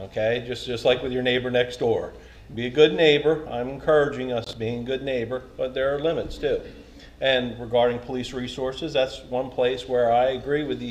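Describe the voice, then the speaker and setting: A man's monotone, flat intonation comes across against noticeable background noise. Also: medium pitch for a man. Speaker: town council candidate, retired police officer. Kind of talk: candidate forum answer. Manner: fast.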